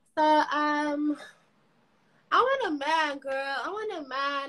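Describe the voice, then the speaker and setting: A woman speaks in a raised, projected voice with a bright, sharp tone. Her intonation is lively. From South Africa. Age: 20s. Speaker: dating show caller, university student. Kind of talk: casual chat. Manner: hesitant, with fillers.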